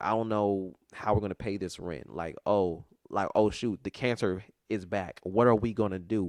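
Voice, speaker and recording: A man's fairly low voice, animated in tone and fairly slow, with ordinary pitch variation, a dry, close sound with no echo and a quiet background. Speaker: podcast host. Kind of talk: casual chat.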